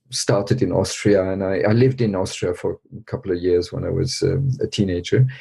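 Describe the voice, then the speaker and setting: A somewhat breathy, dark, mellow voice with ordinary pitch variation. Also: man. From many countries, diplomat family (French-Vietnamese). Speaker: Buddhist teacher and educator. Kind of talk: interview. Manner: thoughtful, hesitant with fillers.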